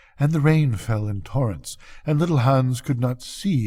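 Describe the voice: The clip is someone plainly reading aloud.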